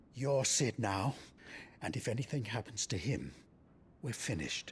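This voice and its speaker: Putting on a character voice, a man talks at a moderate pace over clear background noise. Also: medium pitch for a man. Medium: video game. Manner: blunt, gruff.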